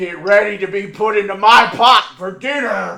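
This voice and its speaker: Using a put-on character voice, a man speaks at a high pitch. His pace is moderate. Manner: menacing.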